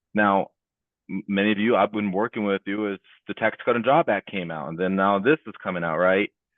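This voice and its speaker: A man's fairly low voice, with ordinary pitch variation and a fairly quick pace. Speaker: financial advisor hosting a client town hall. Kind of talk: webinar presentation. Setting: live online event. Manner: animated.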